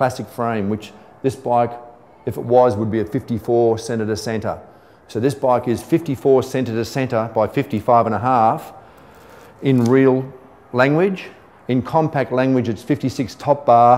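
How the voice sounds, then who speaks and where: Ordinary pitch variation at a fairly slow pace. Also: man. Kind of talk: tutorial. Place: shop.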